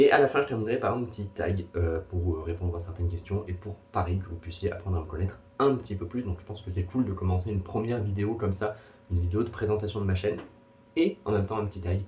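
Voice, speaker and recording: This man talks at a very fast pace with a fairly low pitch. His voice is somewhat breathy, with ordinary pitch variation. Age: 20s. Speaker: booktuber. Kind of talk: casual vlog.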